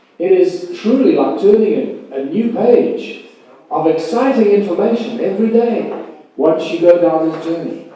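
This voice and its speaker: A man speaks with a high pitch and lively intonation, and there is audible echo from the room. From South Africa, Rustenburg. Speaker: conference keynote speaker. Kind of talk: conference lecture. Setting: conference hall with audience and live translation. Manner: slow, deliberate. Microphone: bad sound quality.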